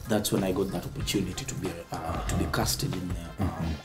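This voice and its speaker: Speech at a moderate pace over clear music in the background. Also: man. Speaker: guest actor. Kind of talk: interview answer. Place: street. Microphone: lapel.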